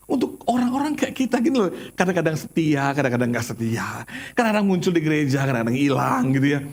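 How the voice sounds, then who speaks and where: A man speaks in an animated tone. His intonation is lively. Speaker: pastor. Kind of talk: sermon.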